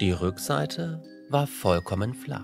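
With music in the background, a man talks in a calm tone at a very slow pace. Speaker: storyteller. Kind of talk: bedtime fairy tale reading.

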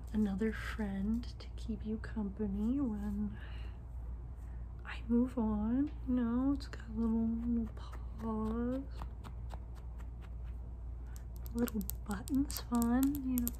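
A soft-spoken woman talks at a very slow pace in a very deep, low pitch, with long, frequent pauses and light background noise. Her intonation is monotone and flat. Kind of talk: acted monologue to camera. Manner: soft-spoken ASMR roleplay voice. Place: home room. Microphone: phone near.

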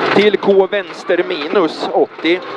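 Loud background noise around a dry, echo-free sound. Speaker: rally co-driver. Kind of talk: rally co-driver reading pacenotes aloud during a stage. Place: car. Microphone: helmet.

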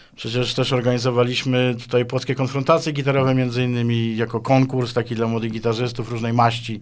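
A man at a very fast pace, hardly any pauses, monotone flat intonation, over a quiet background. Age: 50s. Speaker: guitarist and composer; guest. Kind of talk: interview. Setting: studio. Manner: halting, with many repetitions. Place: studio. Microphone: studio mic.

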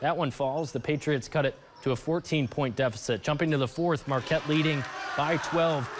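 Noticeable background noise sits behind a man's fairly high voice. He speaks at a moderate pace with ordinary pitch variation. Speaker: local TV sports anchor. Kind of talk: sports highlight voiceover, live-style play-by-play commentary. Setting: TV studio voiceover over game footage. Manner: punchy, energetic, clipped play-by-play.

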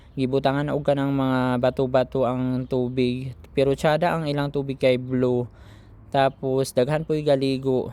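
At a moderate pace, a man with a Philippine accent speaks at medium pitch in a monotone, flat intonation. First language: Cebuano (speaking Tagalog). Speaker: vlogger, overseas Filipino worker. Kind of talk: vlog voice-over. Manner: casual, rambling with fillers.

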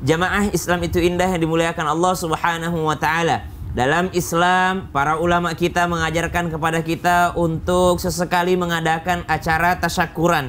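Talking at a fairly quick pace with hardly any pauses, a man uses a high, monotone, flat voice at very even loudness. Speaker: Islamic preacher. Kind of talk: sermon.

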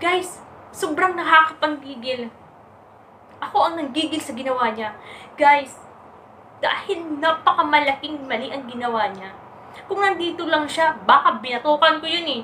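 A woman's high, fairly bright voice at a fairly slow pace, with ordinary pitch variation and audible room echo.

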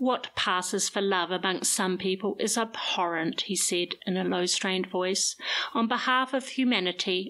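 Ordinary pitch variation in a stretch of reading aloud in a natural voice

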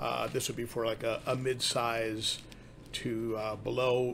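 A man's flat, monotone delivery over light background noise. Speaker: aquarium hobbyist channel host. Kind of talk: casual vlog chat. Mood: friendly, relaxed. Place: home room.

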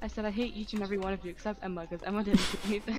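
The delivery is very fast with monotone, flat intonation. Noticeable background noise runs underneath. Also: woman, medium pitch for a woman.

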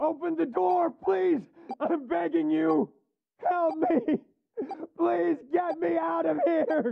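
The voice is high in pitch and swings very widely across it. It moves at a very slow pace, with long, frequent pauses.

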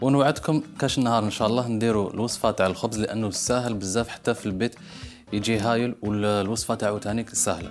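Faint music plays behind a man who speaks at a fairly quick pace with fairly even intonation. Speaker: TV cooking show host. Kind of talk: tutorial. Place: studio.

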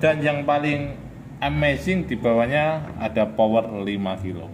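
Over noticeable background noise, a man talks at a very slow pace with very wide pitch swings. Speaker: shop seller reviewing products. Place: shop. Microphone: phone near.

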